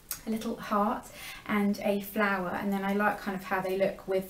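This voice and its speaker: Over noticeable background noise and audible room echo, a woman speaks at a medium pitch and a fairly quick pace. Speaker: beauty vlogger. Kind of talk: product review vlog. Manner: fast.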